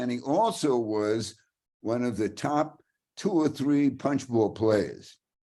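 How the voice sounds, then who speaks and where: Speaking with a New York accent, a man has a medium pitch, a dark, mellow tone and ordinary pitch variation. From Brooklyn, New York. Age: 90s. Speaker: hockey writer and storyteller. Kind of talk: storytelling talk. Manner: animated.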